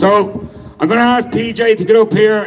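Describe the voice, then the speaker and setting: A man with an Irish accent talks at a moderate pace and a high pitch. Noticeable background noise sits behind him. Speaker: protest organiser and speaker. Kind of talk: protest speech. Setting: outdoor protest crowd.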